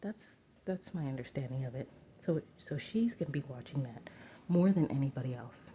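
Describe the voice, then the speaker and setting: This soft-spoken voice moves at a moderate pace. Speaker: tarot reader. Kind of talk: tarot reading. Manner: casual with fillers.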